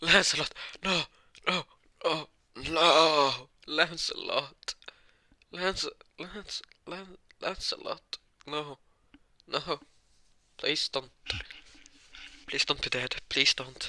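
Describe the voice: A man does a put-on character voice with a bright, sharp tone at a very slow pace, leaving long, frequent pauses, in a dry, close sound with no echo. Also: fairly high pitch for a man, ordinary pitch variation.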